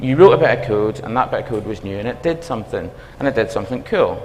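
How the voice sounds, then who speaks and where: A man speaks with a strong Belfast accent in a room with audible echo. Music plays in the background. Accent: Belfast accent, self-described as strong. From Northern Ireland, Belfast. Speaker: university dean, computing academic. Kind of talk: conference talk. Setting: stage with audience. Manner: animated.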